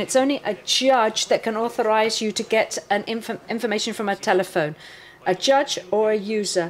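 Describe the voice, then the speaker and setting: This woman has a plain, everyday voice, pitched fairly high. She keeps her intonation fairly even and talks at a moderate speed. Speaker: forensic analyst presenting a workshop. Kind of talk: technical workshop lecture. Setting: conference room with live audience.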